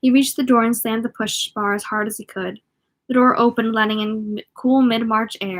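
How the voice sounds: Fairly even intonation marks a natural reading voice. The background is quiet.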